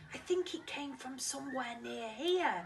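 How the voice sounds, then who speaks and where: Amid clear background noise, a female-sounding voice performs a put-on character voice at a high pitch and a moderate pace. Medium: read story. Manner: gentle, calm.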